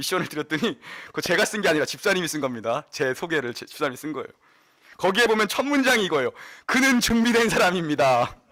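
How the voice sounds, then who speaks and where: A man talks at a very fast pace in a high pitch with very wide pitch swings. His tone is bright and sharp. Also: big swings in loudness. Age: young. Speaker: pastor. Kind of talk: sermon.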